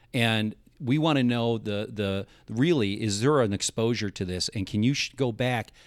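At a moderate pace, a man speaks in a plain, everyday voice at a medium pitch with ordinary pitch variation, on a very clean recording with a silent background. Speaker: insurance agent. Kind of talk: casual interview chat. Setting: studio.

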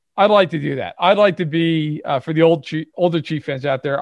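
At a fairly quick pace, a man speaks in a Brooklyn accent. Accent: New York (Brooklyn). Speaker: sports podcast co-host. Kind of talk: casual chat.

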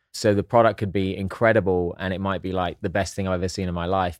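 Speaking very fast with an English accent, a man's very deep, low voice comes through dry and close, with no echo. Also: very clean recording, silent background. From southern England (East Sussex). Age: 40s. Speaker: actor and entrepreneur. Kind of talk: casual chat.

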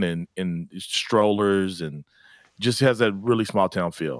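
A man with an Oklahoma accent talks at a fairly slow pace with a fairly low pitch. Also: very clean recording, silent background. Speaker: pastor. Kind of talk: radio interview. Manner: halting.

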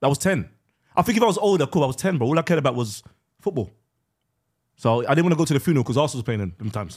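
A man talks very fast at a fairly high pitch, somewhat breathy, with very wide pitch swings. Long, frequent pauses break up his speech. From West Midlands, England. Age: 40s. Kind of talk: casual chat.

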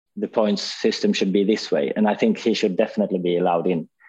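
A man talks very fast against a quiet background. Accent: Swedish. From Sweden. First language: Swedish. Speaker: former racing driver, driver manager. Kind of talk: casual chat.

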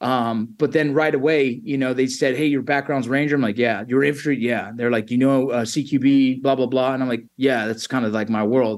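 A man talks fairly quickly in a plain, everyday voice. His pitch is medium and his intonation fairly even. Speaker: army veteran and former border patrol agent. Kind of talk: interview conversation. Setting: video call.

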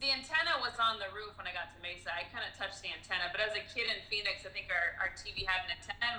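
The words pour out at a very fast pace with hardly any pauses. Background noise is noticeable throughout. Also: woman. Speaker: comedian. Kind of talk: casual chat.

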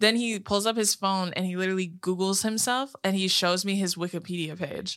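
Here a woman speaks at a fairly quick pace. Her pitch is medium. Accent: American. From California. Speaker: podcast co-host. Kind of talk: casual chat. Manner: animated.

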